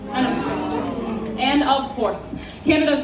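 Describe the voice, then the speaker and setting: Her pitch is high and varies in an ordinary way as a woman talks over noticeable background noise. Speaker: slam poet. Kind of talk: poetry slam performance. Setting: live event venue.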